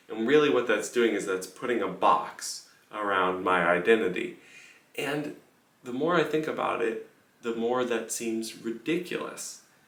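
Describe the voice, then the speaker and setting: A quiet man with a medium pitch speaks at a fairly slow pace with lively intonation, amid noticeable background noise and audible room echo. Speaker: pianist. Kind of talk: casual vlog monologue. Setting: room in a house on tour. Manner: lowered voice, quiet.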